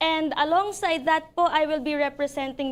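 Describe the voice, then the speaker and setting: A woman talks at an unhurried, middling tempo, her pitch rising and falling in a normal way. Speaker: singer and actress. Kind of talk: interview.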